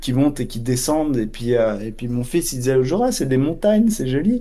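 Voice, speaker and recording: Audible room echo surrounds a man with a dark, mellow tone. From Switzerland (Geneva area). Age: 40s. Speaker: math teacher and amateur trader. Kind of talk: interview.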